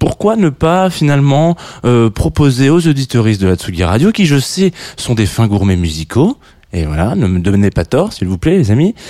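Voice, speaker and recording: A man with a southern French accent speaks at a medium pitch and moderate pace, his tone dark and mellow. His pitch swings very widely, and the sound is dry and close with no echo. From southern France. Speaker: radio host. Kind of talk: radio show presenting. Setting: studio. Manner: halting, many fillers.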